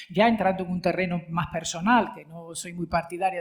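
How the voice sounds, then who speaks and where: Somewhat breathy, a woman speaks at a fairly quick pace with fairly even intonation. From Spain, mixed regions. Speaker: retired radio and TV journalist. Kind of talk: panel discussion.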